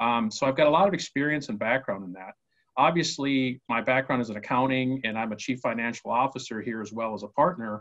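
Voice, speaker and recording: At a very fast pace, a man talks with an Upper Midwest accent and ordinary pitch variation. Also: medium pitch for a man. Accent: Upper Midwest American. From Minnesota, US. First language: Spanish. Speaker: mayoral candidate, business owner. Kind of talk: interview.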